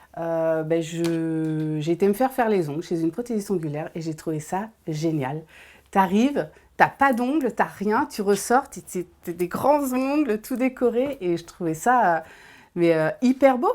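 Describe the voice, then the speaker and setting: Recorded very cleanly against a silent background, a woman speaks at a fairly slow pace. Her medium-pitched voice makes very wide pitch swings. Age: 30s. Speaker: nail technician. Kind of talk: interview testimony. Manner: hesitant, many fillers.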